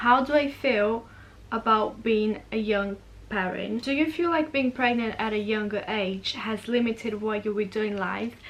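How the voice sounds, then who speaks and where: This woman speaks with a Portuguese accent and ordinary pitch variation. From Brazil. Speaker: vlogger. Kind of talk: casual Q&A vlog. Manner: chatty, fast.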